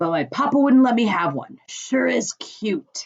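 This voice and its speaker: A put-on character voice from a woman, pitched high, delivered at a moderate pace. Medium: read story.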